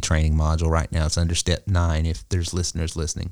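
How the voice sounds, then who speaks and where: A man with an American accent. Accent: Southern US, somewhat toned down. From US South. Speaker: business coach and podcast host. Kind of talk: casual business podcast chat.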